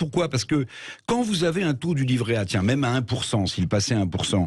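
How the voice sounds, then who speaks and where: Somewhat breathy, a man speaks at a fairly quick pace with medium pitch and lively intonation. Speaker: radio commentator. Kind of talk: radio commentary on economics and politics.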